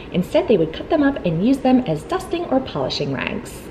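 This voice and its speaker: Speech at a moderate pace comes through with light background noise. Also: woman. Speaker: home cleaning vlogger. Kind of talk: tutorial. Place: home room.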